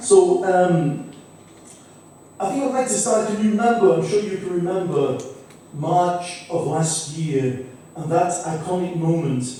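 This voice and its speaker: A man speaks fairly slowly at a high pitch, his intonation lively and broken by long, frequent pauses. Noticeable background noise and audible room echo fill the recording. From Manchester, England. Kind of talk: conference talk. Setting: conference hall with audience. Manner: hesitant, many fillers.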